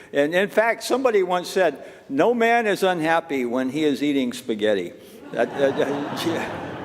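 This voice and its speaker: A man with a fairly high pitch swings very widely in pitch at a moderate pace, with noticeable background noise behind him. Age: 70s. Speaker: minister. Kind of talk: casual chat. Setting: church. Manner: halting.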